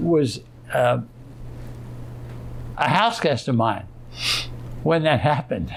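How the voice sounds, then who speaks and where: Over noticeable background noise, the voice moves at a very slow pace with long, frequent pauses and very wide pitch swings. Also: man, medium pitch for a man. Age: 80s+. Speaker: war veteran; retired business executive. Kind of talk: interview answer. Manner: reflective, hesitant.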